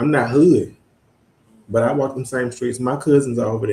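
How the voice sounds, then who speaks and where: A man talks at a fairly quick pace with a Mississippi accent. His voice is somewhat breathy. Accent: Deep South Mississippi. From US South, Mississippi Delta (Greenwood). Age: 20s. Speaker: university student advisor. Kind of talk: interview conversation.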